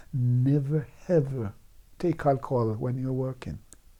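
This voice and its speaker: A man's dark, mellow tone carries fairly even intonation. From Jamaica, Clarendon. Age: 70s. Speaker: Windrush-generation migrant, former bus worker. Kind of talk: oral history interview. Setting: recorded interview in the evening. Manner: hesitant, repeats words.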